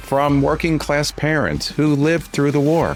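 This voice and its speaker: A man talks fairly slowly. Behind him, music plays in the background. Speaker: podcast host. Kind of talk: podcast introduction.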